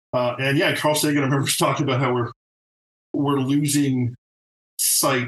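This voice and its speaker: The sound is dry and close with no echo as a man talks in a somewhat breathy voice with fairly even intonation. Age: 50s. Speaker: TV art director. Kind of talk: casual chat.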